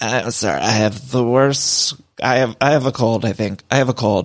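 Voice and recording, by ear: A man uses a put-on character voice that is raspy, with a medium pitch. His intonation is fairly even, his loudness very even, and his pace moderate.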